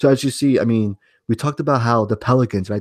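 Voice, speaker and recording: Against a quiet background, a man with a New York accent talks at a fairly quick pace, the sound dry and close with no echo. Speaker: sports podcast host. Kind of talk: casual sports talk. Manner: halting, repeats words.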